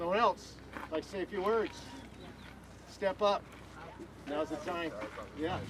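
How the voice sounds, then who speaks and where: Fairly slow with long, frequent pauses, the speech has fairly even intonation over noticeable background noise. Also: man, high pitch for a man. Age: 70s. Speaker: memorial organizer. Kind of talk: memorial remarks.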